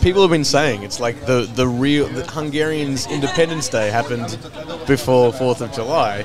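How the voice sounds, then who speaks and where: Over clear background music, a man speaks at a fairly quick pace in a dry sound with no echo. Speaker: stream host. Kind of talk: casual podcast conversation. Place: cafe. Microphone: studio mic.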